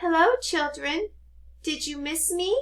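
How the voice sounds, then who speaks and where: A female-sounding voice, put on as a character, comes out squeaky and extremely high in pitch for a woman at a fairly slow pace. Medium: read story. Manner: gentle, warm.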